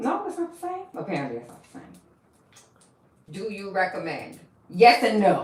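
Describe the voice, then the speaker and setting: A woman with a fairly high pitch and an animated tone speaks at a moderate pace with very wide pitch swings, big swings in loudness and long, frequent pauses, amid audible room echo and noticeable background noise. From US South, Milledgeville, Georgia. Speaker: hair braider / vlogger. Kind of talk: casual chat.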